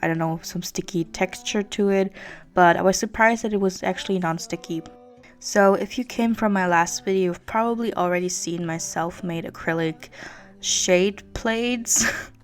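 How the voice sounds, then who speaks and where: Music plays in the background while a woman talks at medium pitch and a moderate pace with ordinary pitch variation. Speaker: beauty youtuber. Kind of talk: product review to camera.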